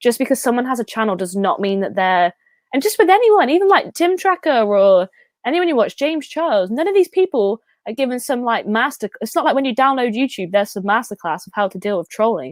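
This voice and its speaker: A woman's high-pitched voice at a very fast pace, with very wide pitch swings and a dry, close sound with no echo. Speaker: YouTuber. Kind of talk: casual chat.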